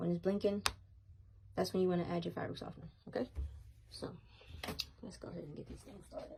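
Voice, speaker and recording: A woman talks at a very fast pace, broken by long, frequent pauses, with big swings in loudness. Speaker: product reviewer. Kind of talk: product demo tutorial. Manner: casual, many fillers.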